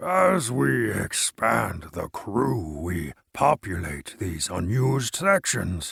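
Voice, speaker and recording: Using a put-on character voice, a man speaks very slowly with hardly any pauses, his voice raspy and fairly low. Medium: read story. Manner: talkative, gesturing grandly.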